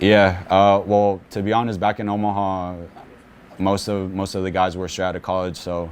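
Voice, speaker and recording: A quiet man speaks with a very deep, low pitch and monotone, flat intonation. Audible room echo surrounds the voice. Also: moderate pace. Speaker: professional soccer midfielder. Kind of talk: press conference interview. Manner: quiet, reserved; halting, many repetitions and fillers.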